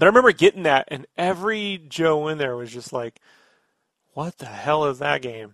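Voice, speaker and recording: Fairly high in pitch, a man uses a normal speaking voice with lively intonation at a moderate pace, recorded dry and close with no echo over a quiet background. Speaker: podcast host. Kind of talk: casual chat. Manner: talkative, jokey.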